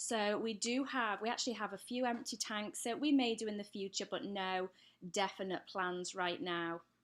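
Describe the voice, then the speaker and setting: Someone with an English accent speaks at a moderate pace with ordinary pitch variation on a very clean recording with a silent background. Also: woman, medium pitch for a woman. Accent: English accent, still clear. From England. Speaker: pet care YouTuber. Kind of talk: live stream Q&A. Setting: live stream at home. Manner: casual, hesitant with many fillers.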